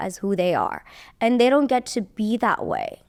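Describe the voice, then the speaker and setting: A woman with a slight Iranian accent speaks at a moderate pace in a fairly high pitch with lively intonation, on a very clean recording with a silent background and a dry, close sound with no echo. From Iran (Tehran). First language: Persian. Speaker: model and modeling teacher. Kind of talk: casual interview chat.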